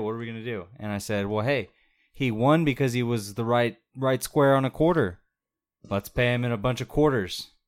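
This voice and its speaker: A man's plain, everyday voice at a medium pitch and a fairly quick pace. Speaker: podcast co-host. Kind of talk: casual chat.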